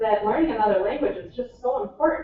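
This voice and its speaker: With an American accent, a woman speaks in very wide pitch swings. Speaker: athlete. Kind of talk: casual chat.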